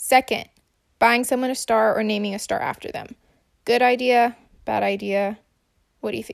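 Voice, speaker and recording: A woman at a moderate pace, with long, frequent pauses and big swings in loudness. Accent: American. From US Midwest. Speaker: listener leaving a voice memo. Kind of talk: recorded voice message.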